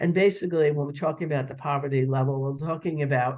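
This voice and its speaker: Fairly high in pitch, a man's voice sounds somewhat breathy. His intonation stays fairly even. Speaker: webinar presenter on federal education programs. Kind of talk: webinar presentation. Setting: online webinar. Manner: halting, many fillers.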